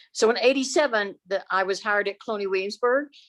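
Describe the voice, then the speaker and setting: A woman speaks at a medium pitch with a Texan accent and ordinary pitch variation. The sound is dry and close, with no echo. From Texas, Dallas. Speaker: audience member, former historical interpreter. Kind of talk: audience question and comment. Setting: video call. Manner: halting.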